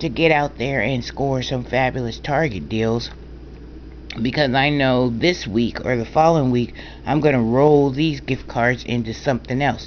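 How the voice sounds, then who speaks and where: With vocal fry and a very deep, low pitch, a woman speaks at a moderate pace with ordinary pitch variation. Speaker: couponer. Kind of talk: casual talk to camera.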